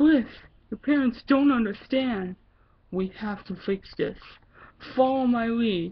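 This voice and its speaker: Someone does a put-on character voice at a fairly slow pace. Long, frequent pauses break up the speech. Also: woman, fairly high pitch for a woman. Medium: read story.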